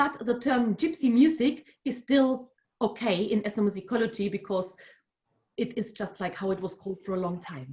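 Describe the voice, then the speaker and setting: Speaking in a German accent, a woman uses lively intonation at a moderate pace. Her voice is somewhat breathy and fairly high in pitch. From Germany. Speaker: music researcher. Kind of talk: online workshop lecture. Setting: video call. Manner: halting.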